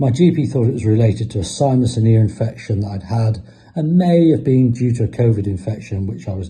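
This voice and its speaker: A somewhat breathy man's voice, fairly low, with a southern English accent, lively intonation, and a fairly quick pace. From southern England, Isle of Wight. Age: 60s. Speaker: patient. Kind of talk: testimony. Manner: halting.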